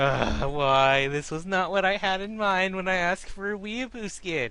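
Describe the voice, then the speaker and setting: In a raised, projected voice, a man speaks at a moderate pace and a high pitch with ordinary pitch variation. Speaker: gaming video commentator. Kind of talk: casual commentary on game patch notes.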